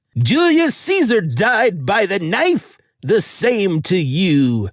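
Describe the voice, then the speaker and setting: A put-on character voice at a middle pitch, very slow, with very wide swings in pitch. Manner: menacing, theatrical.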